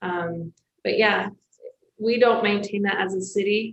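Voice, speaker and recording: Flat, monotone intonation from a woman at a medium pitch, her pace fairly slow. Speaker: city staff member. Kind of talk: public meeting discussion. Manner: hesitant, many fillers.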